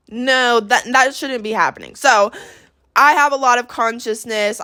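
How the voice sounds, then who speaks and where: In a very clean recording with a silent background, a woman with an American accent talks at a moderate pace. She has an ordinary speaking voice and ordinary pitch variation. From Texas. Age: 20s. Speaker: podcast host, esthetician. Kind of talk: casual monologue.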